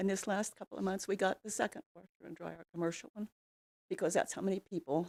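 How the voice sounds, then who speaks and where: A woman with an American accent, medium pitch and a dark, mellow tone, with vocal fry, at a fairly quick pace, in a dry, close sound with no echo. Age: 80s+. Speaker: public commenter at city council meeting. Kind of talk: public comment speech. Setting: council chamber.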